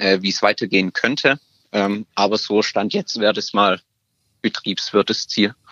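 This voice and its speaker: Speaking with a normal speaking voice, a man of fairly low pitch talks at a fairly slow pace with fairly even intonation. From Stuttgart, Germany. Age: 20s. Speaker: apprentice. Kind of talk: interview.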